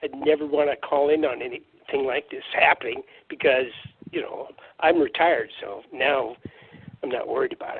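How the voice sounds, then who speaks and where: With big swings in loudness and long, frequent pauses, a man speaks at a moderate pace. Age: 60s. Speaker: caller. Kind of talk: phone-in testimony.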